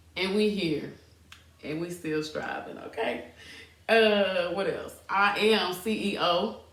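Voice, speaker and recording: Over noticeable background noise and audible room echo, a woman with a medium-pitched voice speaks at a very slow pace. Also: ordinary pitch variation. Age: 30s. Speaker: podcast host, fitness entrepreneur. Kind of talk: casual personal storytelling podcast. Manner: casual, conversational, hesitant at times.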